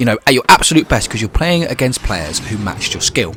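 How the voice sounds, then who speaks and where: Through noticeable background noise, a man with a British accent and a medium pitch talks at a very fast pace with lively intonation. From UK. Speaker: gaming YouTuber. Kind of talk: video commentary.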